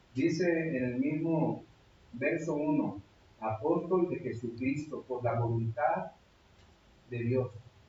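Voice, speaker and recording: A man's fairly high pitch with ordinary pitch variation, very slow pace and long, frequent pauses, over noticeable background noise. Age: 60s. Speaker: pastor. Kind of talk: sermon.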